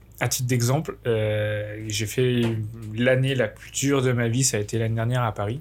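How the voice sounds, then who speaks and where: Here a man speaks at a moderate pace with a medium pitch. His intonation is monotone and flat. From France, Bourg-en-Bresse area (Ain). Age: 20s. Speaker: student apprentice in sports marketing. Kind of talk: casual chat.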